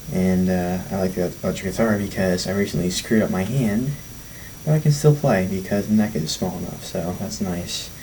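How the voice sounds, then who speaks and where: Through noticeable background noise, a man talks at a fairly quick pace with a fairly low pitch and ordinary pitch variation. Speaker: youth sermon vlogger. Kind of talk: casual talk to camera.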